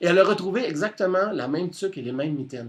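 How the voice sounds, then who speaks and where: Somewhat breathy and very fast, a man with a Quebec accent talks with ordinary pitch variation against a quiet background. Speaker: storyteller. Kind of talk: oral storytelling on radio. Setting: radio studio.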